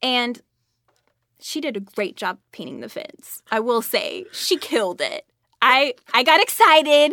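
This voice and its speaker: A woman's raised, projected voice, high and bright with a sharp tone, with very wide pitch swings and big swings in loudness, at a fairly slow pace, dry and close with no echo. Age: 30s. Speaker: voice actress. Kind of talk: casual chat. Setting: home closet recording.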